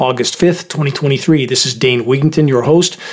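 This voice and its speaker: Against noticeable background noise, a man with a fairly high pitch delivers his lines in a dramatic tone with ordinary pitch variation. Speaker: radio host. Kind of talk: scripted news-style commentary read aloud. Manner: grave, urgent, dramatic, warning tone.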